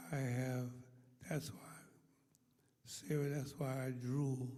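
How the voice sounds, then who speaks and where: Whispering in a somewhat breathy way at a fairly slow pace, a man is heard with audible room echo. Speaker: pastor. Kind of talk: sermon. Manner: slurred, affected by stroke.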